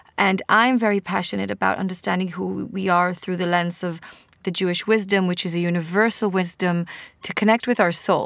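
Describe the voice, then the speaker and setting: A woman in an Israeli accent, medium in pitch, with fairly even intonation and a fairly quick pace. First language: Hebrew. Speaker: podcast host and author. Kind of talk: casual interview.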